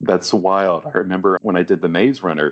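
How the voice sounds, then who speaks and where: The pace is fairly quick. A man talks in an American accent. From US South, small-town Louisiana. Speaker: comic book artist. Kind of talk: interview.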